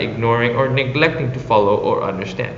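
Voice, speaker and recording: A man at medium pitch talks at a very fast pace with lively intonation and an Indonesian accent. Audible room echo and noticeable background noise surround him. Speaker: former exchange intern. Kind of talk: prepared personal reflection. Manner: formal.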